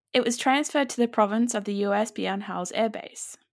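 A woman with an ordinary speaking voice talks at medium pitch with fairly even intonation, on a very clean recording with a silent background. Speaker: podcast co-host. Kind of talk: casual chat with scripted segments. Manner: conversational, relaxed.

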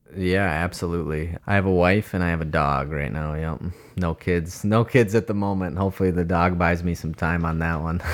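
Amid noticeable background noise, a man with a very deep, low pitch talks at a fairly quick pace with hardly any pauses and fairly even intonation. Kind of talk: casual chat. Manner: casual, filler words.

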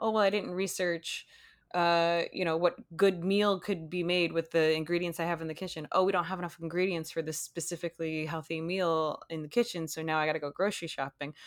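In a very clean recording with a silent background, a woman talks at a fairly quick pace and a fairly low pitch. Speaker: podcast host. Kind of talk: casual chat. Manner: animated.

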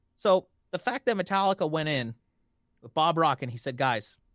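With a Montreal accent, a man talks at a moderate pace and with lively intonation, his voice dry and close with no echo on a very clean recording over a silent background. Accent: Canadian English, Montreal area. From First Nations reserve near Montreal, Quebec, Canada. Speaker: pop radio DJ. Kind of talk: casual chat. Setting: recorded podcast interview.

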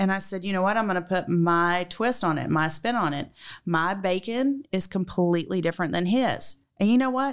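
A woman at a medium pitch and moderate pace, with ordinary pitch variation, in a very clean recording with a silent background. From Georgia, US South. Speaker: restaurant chef and owner.

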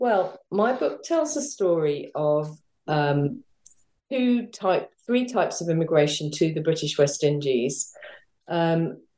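A woman's fairly low voice, dark and mellow in tone, with lively intonation. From North London, England. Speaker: historian. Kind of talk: interview.

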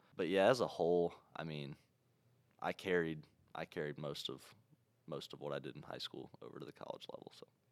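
A man with an American accent talks at a fairly quick pace with very deep, low pitch and vocal fry. Long, frequent pauses break up his speech. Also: ordinary pitch variation, big swings in loudness. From Ohio. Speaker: college basketball player. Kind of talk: casual interview.

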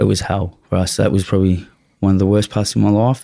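A strong Australian accent comes through at a very fast pace, with a dark, mellow tone and fairly even intonation, in a very clean recording with a silent background. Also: man. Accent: broad Australian. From Australia, western suburbs of Melbourne. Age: 40s. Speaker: former prisoner and drug dealer. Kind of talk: casual interview, life story. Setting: studio.

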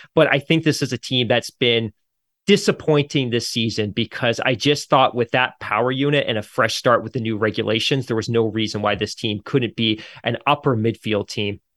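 Recorded dry and close with no echo in a very clean, silent setting, a man speaks at a medium pitch and moderate pace with ordinary pitch variation, an unremarkable speaking voice. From grew up partly in the UK, Canadian. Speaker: F1 podcast host, guest. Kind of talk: casual chat.

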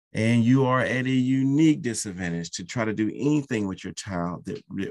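A man speaks with a fairly low pitch. His intonation is lively. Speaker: podcast host and soccer training founder. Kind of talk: passionate monologue rant. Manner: impassioned, pleading, fast, admonishing; rambling, self-aware, digressive.

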